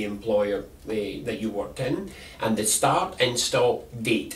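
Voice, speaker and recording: With noticeable background noise and audible room echo, a man talks at a very slow pace, his pitch swinging very widely. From Scotland. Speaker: employment advisor. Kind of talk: instructional talk.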